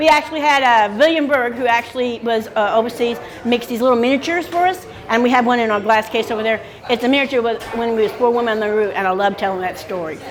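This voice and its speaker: Very fast, fairly high-pitched female speech amid noticeable background noise. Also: ordinary pitch variation. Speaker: retired small business owner on Route 66. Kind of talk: interview. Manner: loud.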